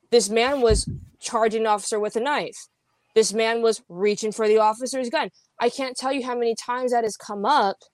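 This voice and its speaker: In a normal speaking voice, a woman talks at a moderate pace with fairly high pitch and ordinary pitch variation, the sound dry and close with no echo on a very clean recording with a silent background. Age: 20s. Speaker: podcaster guest. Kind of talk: casual interview chat.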